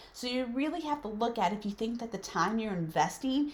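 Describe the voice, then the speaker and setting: Noticeable background noise fills the clip. A woman speaks with ordinary pitch variation. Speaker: business consultant. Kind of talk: tutorial.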